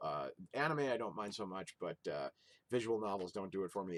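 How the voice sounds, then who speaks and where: A man mumbles at a fairly quick pace, the sound dry and close with no echo. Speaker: video game collector YouTuber. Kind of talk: casual vlog haul. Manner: mumbling; halting with fillers. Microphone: built-in Windows camera app recording.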